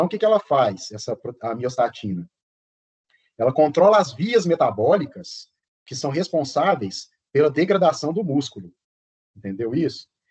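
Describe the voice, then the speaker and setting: This man's fairly high voice carries vocal fry and very wide pitch swings, broken up by long, frequent pauses. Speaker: professor. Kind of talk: lecture. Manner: fast.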